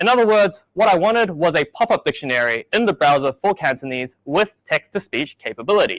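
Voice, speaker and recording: A fairly quick, nearly pauseless delivery in a New Zealand accent, with very wide pitch swings, very even loudness, and a dry, close sound with no echo. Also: man, high pitch for a man. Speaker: software engineer. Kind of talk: conference talk.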